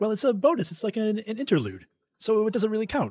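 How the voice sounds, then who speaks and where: A put-on character voice, fairly high in pitch, at a very fast pace. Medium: audio drama. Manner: cheeky.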